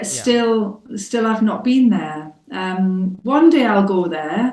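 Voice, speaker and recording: With a British accent, a woman speaks at a very slow pace, using lively intonation and a fairly high pitch. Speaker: English teacher. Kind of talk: mock speaking test answer. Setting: internet call.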